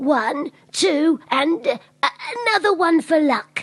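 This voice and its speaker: Put-on character voice from a woman, high-pitched and at a fairly slow pace. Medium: comedy sketch. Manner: slow, hesitant.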